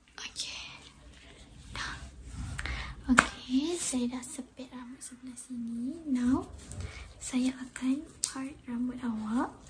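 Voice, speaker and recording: A soft-spoken woman with a high pitch and a gentle tone talks at a very slow pace, with monotone, flat intonation and long, frequent pauses. Her loudness swings widely, and noticeable background noise is present. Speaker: ASMR creator. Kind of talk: ASMR roleplay, clinic lice check. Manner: soft-spoken, gentle.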